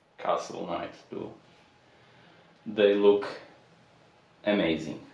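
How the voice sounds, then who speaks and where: Over noticeable background noise and audible room echo, a speaker with a non-native accent talks at a very slow pace with fairly even intonation. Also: man, fairly low pitch for a man. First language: not English. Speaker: audio product reviewer. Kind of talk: unboxing video.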